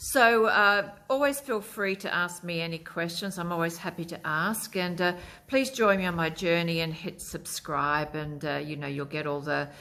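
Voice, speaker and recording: A woman speaks at a moderate pace with hardly any pauses, in an Australian accent. Her pitch is fairly low and her tone bright and sharp, with lively intonation. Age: 60s. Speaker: lifestyle vlogger. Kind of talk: casual vlog talk to camera. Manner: hesitant, many fillers.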